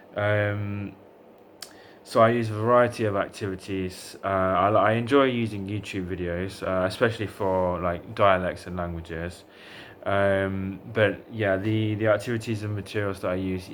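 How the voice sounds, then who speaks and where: A man with a fairly low voice speaks at a moderate pace and with fairly even intonation. Room echo can be heard. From England, Derbyshire. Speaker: language tutor. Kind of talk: self-introduction video. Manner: hesitant, many fillers.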